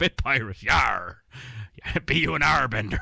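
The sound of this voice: Using a put-on character voice, a man speaks at a moderate pace. His pitch is medium.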